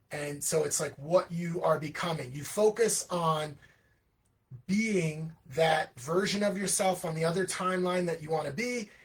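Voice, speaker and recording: A man's high-pitched, animated voice at a moderate pace, with ordinary pitch variation. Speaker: livestream host and children's musician. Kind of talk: casual livestream monologue.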